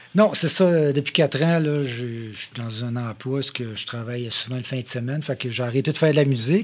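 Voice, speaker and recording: A man with an ordinary speaking voice talks at a fairly quick pace with hardly any pauses, at medium pitch and with ordinary pitch variation. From Quebec, Mauricie (Shawinigan). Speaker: drummer. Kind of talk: casual chat.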